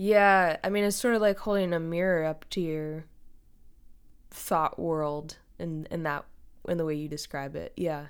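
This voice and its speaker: The speaker has an American accent and ordinary pitch variation, talking at a fairly slow pace. The recording is very clean, with a silent background. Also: woman, fairly low pitch for a woman. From Western Massachusetts, the Berkshires. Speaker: songwriter and musician. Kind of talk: casual interview chat. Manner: halting, many fillers.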